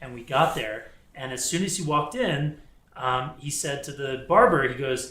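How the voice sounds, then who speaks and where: A man with an American accent at a moderate pace, fairly high in pitch with ordinary pitch variation and big swings in loudness, amid noticeable background noise and audible room echo. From US South. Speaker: synagogue community member. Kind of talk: casual chat. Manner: animated.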